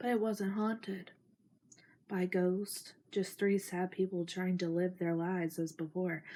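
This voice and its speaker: Soft-spoken and at a fairly slow pace, a woman talks at medium pitch in a dark, mellow tone, her intonation monotone and flat and her loudness very even. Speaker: ASMR creator. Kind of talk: reading aloud.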